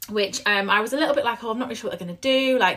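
A woman with a medium pitch talks at a very fast pace, her croaky voice bright and sharp in tone.

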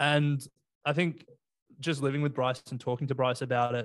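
The speaker is a man with an Australian accent. His pitch is fairly high. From Australia, Sydney. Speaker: investing podcaster. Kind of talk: casual chat. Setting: video call.

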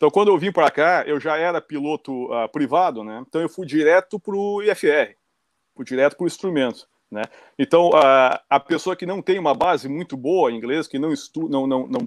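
At a moderate pace, a man talks in a plain, everyday voice with a fairly high pitch. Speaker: pilot, flight instructor in the US. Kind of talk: casual chat. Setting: video call.

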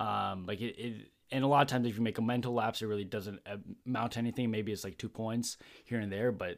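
Very fast speech from a man with a fairly low voice and fairly even intonation, in a very clean recording with a silent background. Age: young. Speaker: host's son. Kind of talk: casual chat.

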